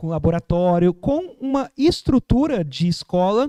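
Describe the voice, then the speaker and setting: With lively intonation, a man speaks in a high pitch and a dark, mellow tone, the sound dry and close with no echo. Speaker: researcher presenting a project. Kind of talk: academic presentation. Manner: hesitant, many fillers.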